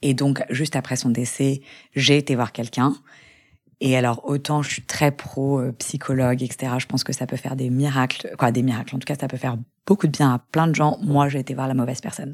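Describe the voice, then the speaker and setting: A woman's very deep, low voice at a fairly quick pace with fairly even intonation, on a very clean recording with a silent background. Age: 30s. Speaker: lawyer and young mother who lost her twin. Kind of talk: personal testimony in interview. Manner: halting with repetitions and fillers.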